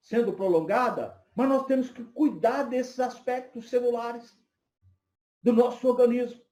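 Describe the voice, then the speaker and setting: A man speaks at an extremely high pitch with a dark, mellow tone and ordinary pitch variation, with audible room echo. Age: 50s. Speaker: psychoanalyst and lecturer. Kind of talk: lecture.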